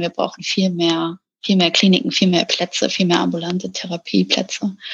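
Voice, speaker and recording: Moderate-paced speech from a woman, somewhat breathy. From Hamburg, northern Germany. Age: 30s. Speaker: psychologist. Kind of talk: interview.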